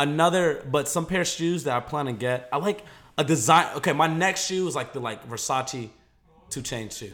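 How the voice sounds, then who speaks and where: Someone with an American accent talks at a moderate pace with ordinary pitch variation. It is an unremarkable speaking voice. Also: man, fairly high pitch for a man. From US South, Atlanta. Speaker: YouTuber. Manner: loud, projecting.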